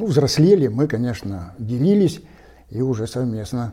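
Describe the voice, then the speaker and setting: A man speaks very slowly in a dark, mellow tone at a medium pitch. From Russia, the Urals (Kizel coal basin). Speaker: geologist and stone carver. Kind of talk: casual interview.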